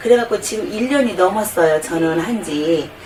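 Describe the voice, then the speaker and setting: With lively intonation, a woman speaks at a moderate pace against noticeable background noise. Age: 50s. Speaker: product testimonial customer. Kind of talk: testimony. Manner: casual, rambling with fillers.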